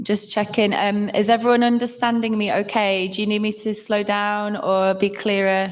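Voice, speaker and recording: A woman with a northern English accent talks at a moderate pace in a medium pitch, her intonation flat and monotone, with hardly any pauses. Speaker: health awareness workshop presenter. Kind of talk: presentation to live audience. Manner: hesitant, many fillers.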